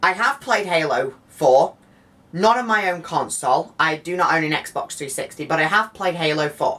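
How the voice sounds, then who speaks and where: Her voice fairly low for a woman, she speaks with an animated tone and lively intonation. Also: moderate pace. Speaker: video game reviewer. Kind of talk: video review. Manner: halting.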